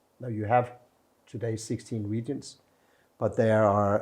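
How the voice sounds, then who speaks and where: A man with a Danish accent, fairly low-pitched and dark, mellow in tone, fairly slow and monotone, flat in intonation, over a quiet background. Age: 60s. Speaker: ambassador. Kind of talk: inspirational message to camera; interview. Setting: embassy.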